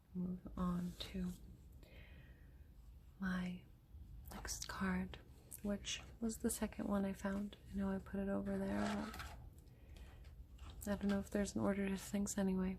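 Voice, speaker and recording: A soft-spoken, gentle tone at a fairly slow pace, broken by long, frequent pauses. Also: woman. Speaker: oracle card and crystal healing reader. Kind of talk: oracle card reading / channeled healing guidance.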